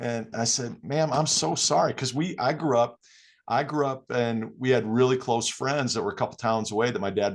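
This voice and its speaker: A man with a Midwestern accent, animated in tone, against a quiet background. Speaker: podcast host, basketball coach. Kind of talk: casual chat.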